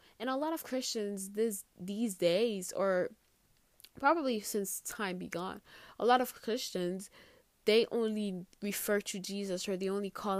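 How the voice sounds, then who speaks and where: A woman at medium pitch speaks at a fairly slow pace in an enthusiastic tone with ordinary pitch variation, on a very clean recording with a silent background. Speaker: podcast host. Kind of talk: solo podcast monologue about faith. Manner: casual, chatty, enthusiastic, with fillers and laughs.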